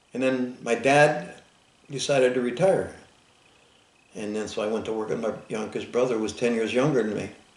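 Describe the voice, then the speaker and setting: A man talks at a fairly quick pace and medium pitch with ordinary pitch variation. Long, frequent pauses break his speech, and audible room echo surrounds it. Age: 70s. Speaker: Vietnam war veteran and farmer. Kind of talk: oral history interview. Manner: halting, repetitive starts.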